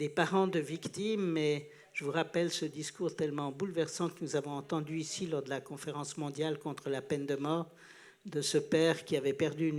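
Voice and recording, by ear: Using fairly even intonation, a man speaks at a moderate pace and a fairly high pitch.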